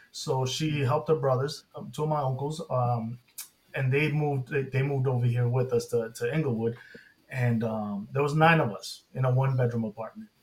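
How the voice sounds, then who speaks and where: A man with an American accent has a plain, everyday voice and a medium pitch. He keeps a moderate pace and fairly even intonation. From Inglewood, California. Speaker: cancer research scientist. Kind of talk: personal testimony.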